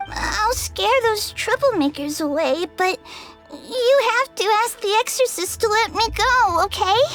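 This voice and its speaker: At an extremely high pitch, a put-on character voice moves at a fairly slow pace with faint music in the background. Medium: fan dub. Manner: stammering, hesitant.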